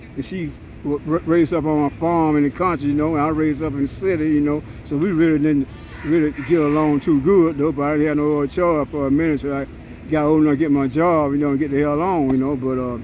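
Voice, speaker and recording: A man with a fairly high pitch rattles off words at a very fast pace in a monotone, flat intonation over noticeable background noise. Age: 70s. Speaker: homeless man. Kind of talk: street interview. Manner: halting, repetitive.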